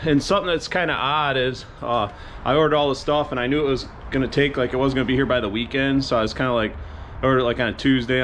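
A man talks at a very fast pace. There is light background noise. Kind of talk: casual vlog chat. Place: garage. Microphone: phone near.

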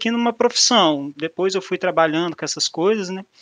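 Fairly quick, lively intonation from a man with a Minas Gerais accent, in a dry, close sound with no echo. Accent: mineiro Brazilian Portuguese. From Minas Gerais, Brazil. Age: 30s. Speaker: mathematician and business analyst, speaker. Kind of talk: meetup talk. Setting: online meetup presentation with slides. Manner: casual, informal.

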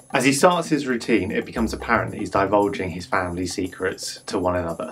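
Over faint background music, a man talks at a fairly quick pace with a fairly low pitch.

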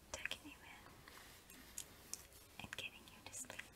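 The pace is fairly slow. It is a woman speaking. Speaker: ASMR creator. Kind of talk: ASMR personal attention, bedtime tuck-in. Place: home room. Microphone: lapel.

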